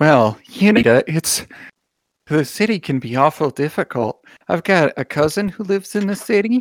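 A man's fairly high voice with very wide pitch swings, on a very clean recording with a silent background. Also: moderate pace. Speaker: game master and podcast host. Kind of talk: casual chat, tabletop roleplaying game session. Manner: animated, playful.

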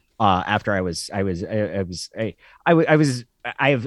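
Over a quiet background, a man with a fairly low pitch makes very wide pitch swings in a dry, close sound with no echo. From Oregon, Klamath Falls. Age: 40s. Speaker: former sports radio host and sportswriter. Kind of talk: casual podcast interview.

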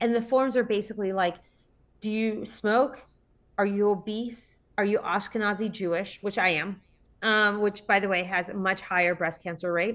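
In an ordinary speaking voice, a woman speaks at medium pitch with fairly even intonation. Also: moderate pace, very clean recording, silent background. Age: 40s. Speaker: entrepreneur. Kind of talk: interview.

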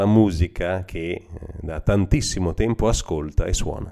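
This man has a very deep, low pitch and a dark, mellow tone, speaking at a fairly slow pace. The recording is very clean, with a silent background. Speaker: radio host. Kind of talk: radio presenting.

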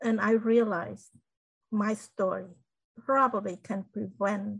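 Very slowly and in a flat monotone, a woman speaks at medium pitch with a somewhat breathy sound. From Cambodia. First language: Khmer. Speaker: genocide survivor and inspirational speaker. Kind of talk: interview testimony.

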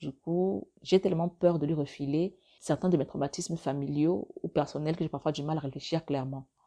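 A woman speaks at a moderate pace in a very deep, low voice with a dark, mellow tone. Her intonation is fairly even against a quiet background. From Africa. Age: 30s. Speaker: podcaster and blogger. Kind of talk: solo monologue podcast. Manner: halting, near stutter.

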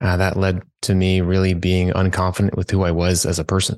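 Against a quiet background, a man speaks with a very deep, low pitch. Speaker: career coach. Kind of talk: interview. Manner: monotone, chill; halting, filler words.

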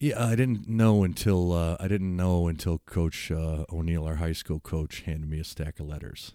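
A man with an American accent and a very deep, low voice, at a moderate pace with ordinary pitch variation and hardly any pauses, in a dark, mellow tone, in a very clean recording with a silent background. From US Midwest, Chicago south suburbs. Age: 50s. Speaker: teacher and football coach. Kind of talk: casual chat. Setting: home basement studio.

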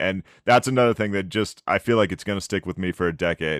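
A man speaks quickly, at a fairly brisk clip, in a fairly low voice. The recording is very clean, with a silent background and a dry, close sound free of echo. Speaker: podcast co-host. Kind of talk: casual interview chat. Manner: enthusiastic, frequent fillers.

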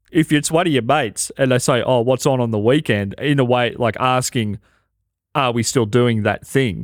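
In a very clean recording with a silent background, a medium-pitched man with an Australian accent speaks at a moderate pace with ordinary pitch variation. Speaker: podcast co-host and comedian. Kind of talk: casual chat.

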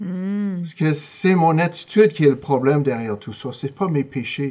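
Dark, mellow tone with lively intonation at a fairly slow pace. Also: man. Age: 60s. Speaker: Bible school dean and former youth pastor. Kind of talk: casual interview.

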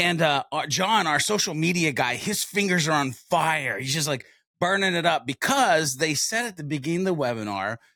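A man with a fairly high pitch, a bright, sharp tone and some vocal fry talks at a moderate pace with very wide pitch swings, recorded dry and close with no echo on a very clean track with a silent background. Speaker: marketing expert. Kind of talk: casual interview.

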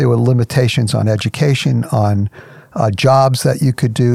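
Medium pitch from a man at a moderate pace, with noticeable background noise. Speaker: ministry president and radio host. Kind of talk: radio program host.

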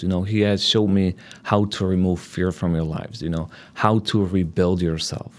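A moderate pace and fairly even intonation, in a Polish accent. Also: man. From Poland. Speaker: divorce coach. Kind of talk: interview. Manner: hesitant, filler-heavy.

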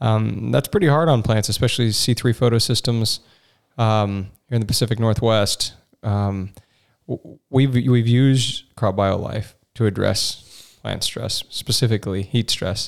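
A normal speaking voice comes from a man at medium pitch, with ordinary pitch variation. He talks at a fairly slow pace in a very clean recording with a silent background. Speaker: podcast host. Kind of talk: casual interview.

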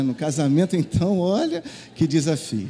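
Fairly quick in pace, this man has a normal speaking voice. His pitch varies in an ordinary way. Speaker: pastor. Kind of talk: sermon. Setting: church.

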